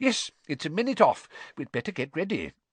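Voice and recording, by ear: Putting on a character voice, a man speaks at a fairly quick pace and fairly high pitch with very wide pitch swings and a slightly husky edge, the sound dry and close with no echo.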